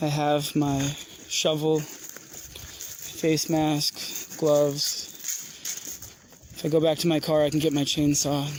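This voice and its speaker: Noticeable background noise runs under very slow speech broken by long, frequent pauses. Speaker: citizen journalist. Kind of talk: on-scene narration while filming. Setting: outdoors.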